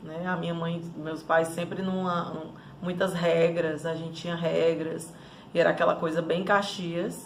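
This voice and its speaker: A woman with a Ceará accent talks fairly slowly at a fairly low pitch, her intonation monotone and flat. Room echo is audible, along with noticeable background noise. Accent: Cearense (northeastern Brazilian). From Northeast Brazil, Fortaleza (Ceará). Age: 30s. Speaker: life coach. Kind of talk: personal life story monologue.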